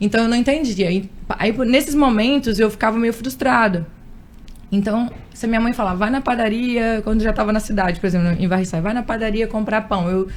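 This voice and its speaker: A woman talks fairly quickly, her fairly high voice showing ordinary pitch variation. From Espírito Santo, Brazil. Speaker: radio and event presenter. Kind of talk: interview.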